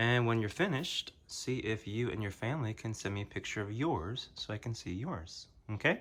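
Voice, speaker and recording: In a very clean recording with a silent background, an unremarkable speaking voice moves at a moderate pace. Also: man. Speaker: kindergarten teacher. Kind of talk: drawing tutorial for children. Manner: gentle, encouraging.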